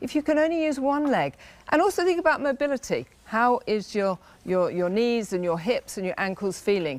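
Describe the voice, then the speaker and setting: With a British accent, a woman speaks at a moderate pace in a fairly high pitch, her voice swinging very widely. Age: 60s. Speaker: fitness equipment designer. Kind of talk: sales pitch.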